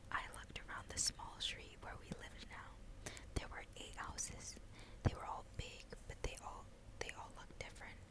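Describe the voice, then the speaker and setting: A woman whispers at a moderate pace, her loudness swinging widely. Noticeable background noise runs underneath. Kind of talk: novel read aloud. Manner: whispered.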